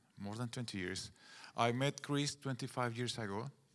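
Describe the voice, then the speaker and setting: Using a medium pitch and ordinary pitch variation, a man speaks at a very slow pace with a Guatemalan accent. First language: Spanish. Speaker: pastor. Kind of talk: sermon. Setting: church.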